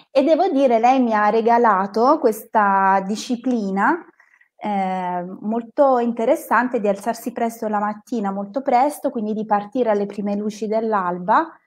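This woman talks at a fairly slow pace. Her pitch varies in an ordinary way. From northern Italy, province of Bergamo; northern Italy. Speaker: psychotherapist and hiking guide; hiking guide. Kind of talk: live stream conversation. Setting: live online stream. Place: home room. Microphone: earbuds.

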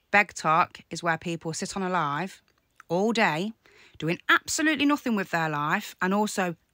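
A woman speaks at a fairly slow pace in a fairly low voice with a bright, sharp tone and lively intonation. The sound is dry with no echo, against a quiet background. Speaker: content creator replying to a troll. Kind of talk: casual vlog chat. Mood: annoyed, defiant. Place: home room. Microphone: phone near.

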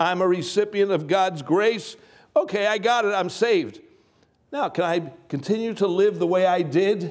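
The background is quiet. A man with a high pitch talks at a moderate pace with ordinary pitch variation. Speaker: preacher. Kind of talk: sermon. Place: hall.

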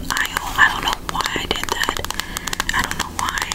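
A whispering woman's voice. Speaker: ASMR creator. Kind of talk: casual talk to camera. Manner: gentle, friendly. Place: home room.

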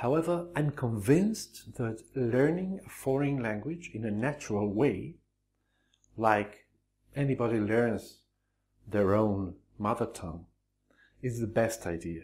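With a Spanish accent, a man at a medium pitch speaks somewhat breathily and fairly slowly, with lively intonation and long, frequent pauses. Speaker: Spanish teacher. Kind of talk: tutorial. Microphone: lapel.

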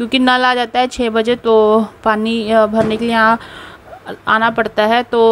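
Light background noise sits under a monotone, flat delivery. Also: woman. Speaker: home vlogger. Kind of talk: casual vlog chat. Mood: cheerful, chatty. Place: home room. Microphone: phone near.

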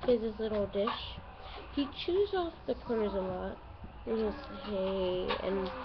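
Noticeable background noise surrounds a woman as she talks. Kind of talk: casual vlog chat. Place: home room. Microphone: phone near.

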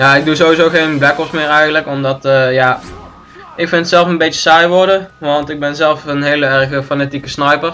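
Monotone, flat intonation sits over music in the background. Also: man, fairly high pitch for a man. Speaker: gaming YouTuber / commentary host. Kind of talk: casual two-person gaming commentary.

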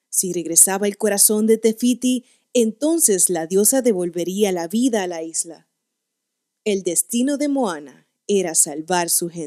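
A woman's animated, dramatic tone with lively intonation at a fairly slow pace, over a quiet background. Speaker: voice acting student. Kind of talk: dramatic storybook narration, read aloud in a theatrical storyteller style. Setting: home recording, single take. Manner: animated, expressive, with varied pitch and dramatic pauses. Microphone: studio mic.

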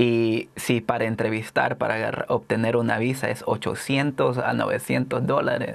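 A man speaks at a very slow pace in a flat monotone. His pitch is medium and his loudness very even. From El Salvador. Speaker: poet and author; poet. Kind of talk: interview; interview answer. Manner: halting. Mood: earnest, reflective. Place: studio. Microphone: lapel.

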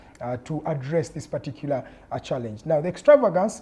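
A fairly quick male voice, dark and mellow in tone, with lively intonation. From Uganda. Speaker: TV talk show host. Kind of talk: political panel debate moderation. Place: studio. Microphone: lapel.

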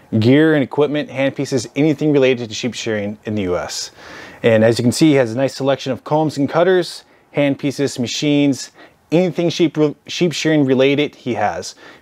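In quiet surroundings, a man speaks fairly quickly. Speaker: sheep shearer vlogger. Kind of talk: sponsor introduction. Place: shop.

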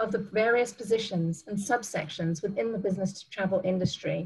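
A woman talks at a fairly quick pace, somewhat breathy. Her pitch varies in an ordinary way. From South Africa. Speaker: business travel professional, panelist; presenter. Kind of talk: presentation. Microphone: webcam.

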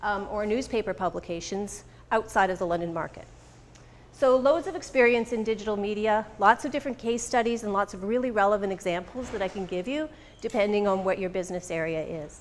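A woman with ordinary pitch variation over light background noise. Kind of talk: business presentation. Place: meeting room.

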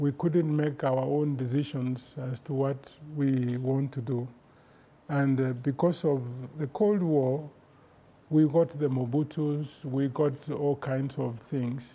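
Somewhat breathy and dark, mellow in tone, a man speaks at a very slow pace with a fairly high pitch and fairly even intonation. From Kenya. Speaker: professor and keynote lecturer; keynote lecturer. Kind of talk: lecture. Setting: virtual lecture broadcast live from an office. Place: studio. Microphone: lapel.

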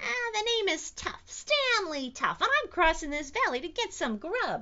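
A woman puts on a character voice with an extremely high pitch and big pitch swings. Her tone is bright and sharp, her pace moderate, with faint background noise.

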